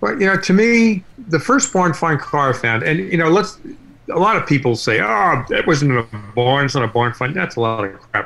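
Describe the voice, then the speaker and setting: In a bright, sharp tone, a man speaks at a moderate pace with a fairly high pitch and very wide pitch swings. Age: 60s. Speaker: car collector and YouTube series host. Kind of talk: interview. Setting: remote call.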